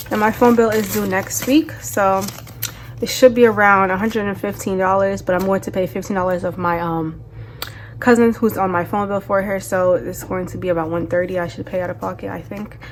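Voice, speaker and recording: Noticeable background noise sits behind a woman speaking fairly quickly at medium pitch with ordinary pitch variation. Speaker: budgeting vlogger. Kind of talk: casual vlog tutorial. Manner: fast; casual chatty.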